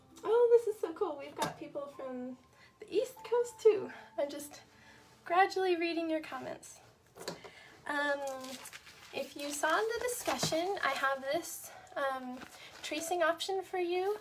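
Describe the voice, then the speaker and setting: Soft-spoken delivery at a fairly slow pace, with lively intonation, big swings in loudness, and long, frequent pauses. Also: woman, extremely high pitch for a woman. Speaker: art instructor. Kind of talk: tutorial. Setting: live stream.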